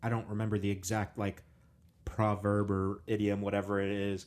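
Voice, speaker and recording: An ordinary speaking voice belongs to this fairly low-pitched man. His pace is moderate. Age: 30s. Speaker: podcast host. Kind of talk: casual chat. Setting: video call.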